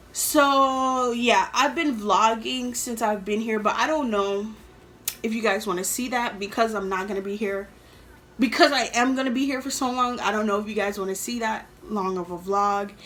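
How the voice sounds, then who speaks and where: A woman's fairly high voice with an American accent at a moderate pace, ordinary pitch variation, audible room echo and noticeable background noise. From New York City, later Atlanta. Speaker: YouTuber. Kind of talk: storytime vlog. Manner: casual, filler-heavy.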